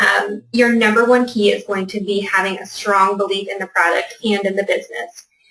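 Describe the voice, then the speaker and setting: A woman with a plain, everyday voice talks at a medium pitch and moderate pace with fairly even intonation. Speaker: fitness business coach. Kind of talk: webinar presentation.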